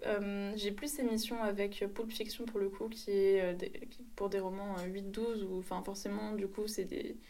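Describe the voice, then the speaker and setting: The voice has a dark, mellow tone and fairly even intonation, moving at a fairly slow pace with hardly any pauses amid audible room echo. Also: woman, medium pitch for a woman. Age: 20s. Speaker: publishing assistant apprentice. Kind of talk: casual interview.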